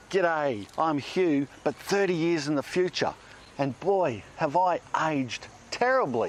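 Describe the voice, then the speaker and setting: Speaking at a fairly slow pace, a man with a fairly high pitch keeps his loudness very even while his intonation stays lively. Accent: Australian. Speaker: gardening video guest presenter. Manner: jokey, casual.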